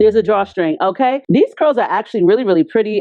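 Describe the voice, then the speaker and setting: A loud, animated woman's voice, fairly high in pitch, with very wide pitch swings. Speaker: beauty youtuber. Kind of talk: product review.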